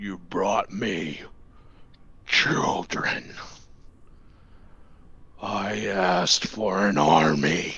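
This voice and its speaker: A man growls in a put-on character voice with a very deep, low pitch. He speaks at a very slow pace with long, frequent pauses. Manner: menacing, contemptuous.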